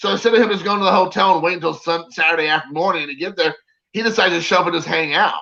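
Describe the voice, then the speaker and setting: With a Southern US accent, a man speaks at a very fast pace in a high-pitched, animated tone. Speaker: autograph collector. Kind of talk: casual chat. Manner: animated storytelling.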